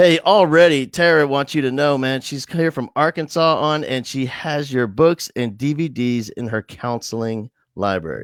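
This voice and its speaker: Dry and close with no echo, a man with an American accent and a fairly high pitch speaks at a moderate pace with ordinary pitch variation and hardly any pauses. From New Jersey, then Texas. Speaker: live show host, education speaker. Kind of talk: casual interview. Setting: online live stream. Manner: animated.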